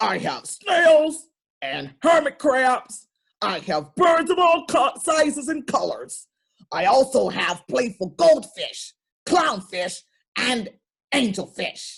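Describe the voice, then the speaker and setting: A put-on character voice sits at a high pitch. The pace is very slow. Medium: read story. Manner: welcoming, cheerful.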